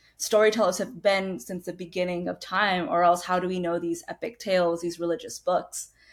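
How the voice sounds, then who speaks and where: At a fairly quick pace, a woman with an unremarkable speaking voice talks at medium pitch with fairly even intonation. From United States (immigrated from India at two). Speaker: author. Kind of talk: casual chat.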